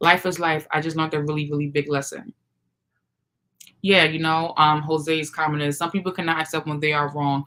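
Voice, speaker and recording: This woman's voice is very deep and low, bright and sharp in tone, and loud. She talks at a fairly quick pace with a monotone, flat intonation. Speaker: YouTube livestream host. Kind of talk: casual livestream chat.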